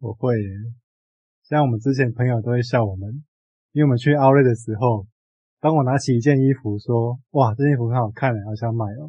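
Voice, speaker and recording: A somewhat breathy man of medium pitch speaks at a fairly quick pace with fairly even intonation, though with long, frequent pauses. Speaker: book podcast co-host. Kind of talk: casual book discussion.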